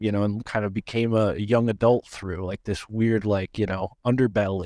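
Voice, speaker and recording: This man talks at a fairly quick pace with a medium pitch. The sound is dry and close, with no echo. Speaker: podcast host, guest researcher. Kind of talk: casual chat. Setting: video call. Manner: measured pace.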